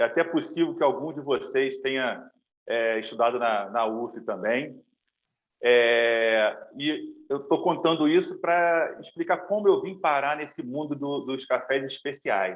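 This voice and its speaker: An ordinary speaking voice at a fairly slow pace, with lively intonation. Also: man, fairly high pitch for a man. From Brazil, Niterói, Rio de Janeiro. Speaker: specialty coffee roaster. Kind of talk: webinar presentation.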